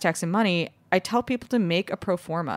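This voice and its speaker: A woman speaks in a plain, everyday voice at a moderate pace with ordinary pitch variation. The sound is dry and close with no echo, on a very clean recording with a silent background. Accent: American. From Chicago, US Midwest. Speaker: bakery co-founder and CEO. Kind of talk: interview, casual chat.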